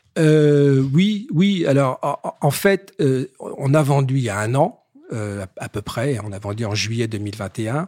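Very slowly, a man talks at a medium pitch with lively intonation, the sound dry and close with no echo. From Paris. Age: 60s. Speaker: business executive. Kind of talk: interview. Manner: halting, repeats words.

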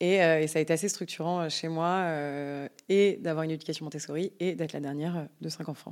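Very deep and low in pitch, a woman speaks at a fairly quick pace in a very clean recording with a silent background. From France, Yvelines. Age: 20s. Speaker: entrepreneur. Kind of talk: interview conversation. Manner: fast; animated.

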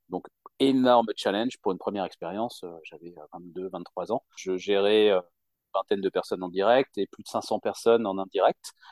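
A man talks in an ordinary speaking voice at a fairly low pitch and a moderate pace, with fairly even intonation. His loudness swings widely, and the sound is dry and close with no echo. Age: 40s. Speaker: job seeker who changed jobs. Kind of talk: interview.

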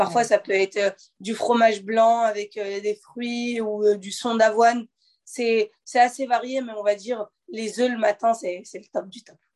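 At a very slow pace, the voice keeps a fairly even intonation but swings greatly in loudness, the sound dry and close with no echo. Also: woman, fairly high pitch for a woman. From Normandy, France (Le Havre). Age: 20s. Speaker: professional boxer. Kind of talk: interview.

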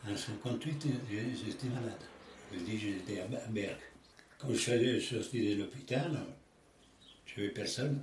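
With audible room echo, a man speaks at a very slow pace in a medium pitch, showing ordinary pitch variation and long, frequent pauses. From Italy, near Rome. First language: Italian (speaking French). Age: 80s+. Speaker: elderly interviewee. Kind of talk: life story interview. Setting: at home. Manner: halting.

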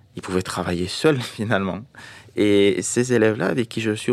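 A man's fairly low voice, with ordinary pitch variation, is captured on a very clean recording with a silent background. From Morocco. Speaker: schoolteacher and author. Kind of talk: interview. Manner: hesitant, many fillers.

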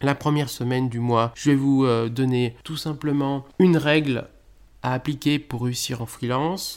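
A man talks in a plain, everyday voice, pitched fairly high. His intonation is fairly even and his pace fairly slow. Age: 30s. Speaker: podcast host, freelance SEO consultant. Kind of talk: solo podcast introduction.

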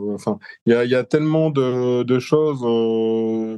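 The background is quiet. A man talks at a medium pitch with fairly even intonation. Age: 50s. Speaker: business manager and deep diver. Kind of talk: interview. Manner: hesitant.

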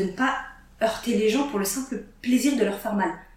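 Amid noticeable background noise and audible room echo, a woman speaks at a moderate pace in a fairly high pitch with ordinary pitch variation. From northern France. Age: 30s. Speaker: learning techniques trainer. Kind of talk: casual chat.

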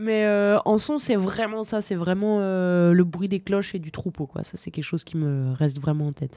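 This woman has a dark, mellow tone and a medium pitch. Her intonation is lively and her pace moderate. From French Alps, Bauges massif (Savoie). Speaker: mountain guide and ski patroller. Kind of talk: interview.

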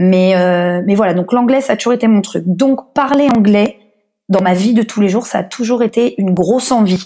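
Her loudness stays very even as a woman speaks at a moderate pace. She has a medium pitch and a dark, mellow tone. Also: ordinary pitch variation. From France, Paris. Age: 30s. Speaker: blogger and podcaster, expatriate. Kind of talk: interview.

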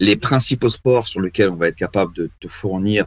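This man has an ordinary speaking voice, fairly low in pitch, with ordinary pitch variation at a moderate pace. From Paris suburbs, Val d'Oise. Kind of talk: podcast interview.

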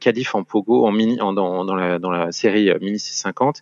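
A man speaks in a fairly low pitch at a moderate pace, with ordinary pitch variation. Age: 40s. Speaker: sailor. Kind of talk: casual chat. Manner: halting.

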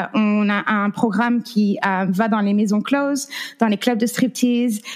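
A woman with an American accent speaks in a fairly high pitch, somewhat breathy, with fairly even intonation. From France. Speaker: anti-trafficking activist and survivor. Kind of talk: interview testimony. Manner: halting.

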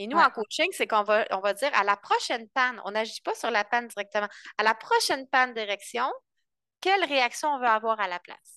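In a dry, close sound with no echo and a quiet background, a woman with a fairly high pitch and a bright, sharp tone talks at a moderate pace with lively intonation. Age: 30s. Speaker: couples coach. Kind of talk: interview.

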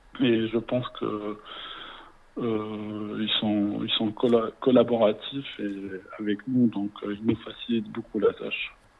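At a very slow pace, a man holds a medium pitch in a monotone, flat delivery. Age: 20s. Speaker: hospital pharmacy resident. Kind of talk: interview. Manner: halting.

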